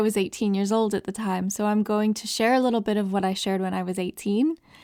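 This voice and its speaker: In a dry, close recording with no echo and a silent background, very clean throughout, a woman speaks at a medium pitch with fairly even intonation and an American accent. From Southern California. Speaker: podcast host. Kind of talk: personal testimony.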